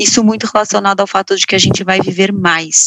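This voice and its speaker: A woman talks at a medium pitch with ordinary pitch variation. Hers is a plain, everyday voice. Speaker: founder of women's finance education project. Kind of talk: interview.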